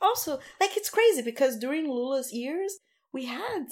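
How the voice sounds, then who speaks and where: A woman speaks at a moderate pace in a Portuguese accent. The recording is very clean, with a silent background. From Brazil, Rio de Janeiro. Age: 30s. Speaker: community founder, activist. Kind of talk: casual interview.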